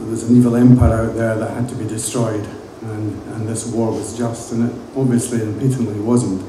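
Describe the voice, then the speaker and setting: A man with an Edinburgh accent talks at medium pitch, with noticeable background noise and audible room echo. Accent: Edinburgh Scottish. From Scotland, Edinburgh. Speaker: music industry veteran. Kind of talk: talk to students. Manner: casual, hesitant with fillers.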